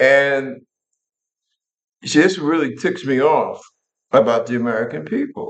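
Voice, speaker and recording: Here a man is talking. His pace is very slow. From New York. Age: 70s. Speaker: military veteran and talk show host. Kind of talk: political commentary monologue. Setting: living room. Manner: animated.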